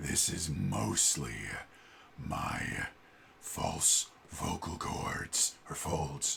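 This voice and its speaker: A man growls in a gravelly, put-on character voice, his pitch very deep and low. He speaks at a very slow pace with long, frequent pauses over clear background noise. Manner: demonstrating.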